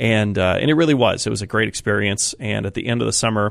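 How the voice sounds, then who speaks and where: With an American accent, a man talks at a very fast pace in a fairly low pitch with vocal fry. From Colorado plains, US. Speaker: pastor. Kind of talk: interview. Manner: halting, many fillers.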